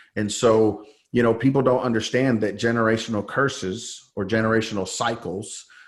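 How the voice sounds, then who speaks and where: A man with an American accent, a plain, everyday voice, medium pitch and a moderate pace. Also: fairly even intonation. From San Jose, California. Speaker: faith-based coach, former pastor. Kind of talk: interview testimony. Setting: podcast.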